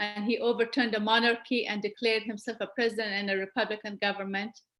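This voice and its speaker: Music plays in the background as a woman speaks in a fairly high, monotone, flat voice. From Afghanistan, Kabul. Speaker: community speaker. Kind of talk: presentation. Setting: webcast.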